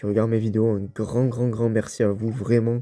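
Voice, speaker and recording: Speaking at a moderate pace, a man uses a medium pitch and a dark, mellow tone. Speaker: gaming youtuber. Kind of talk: let's play commentary. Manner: casual, hesitant with fillers.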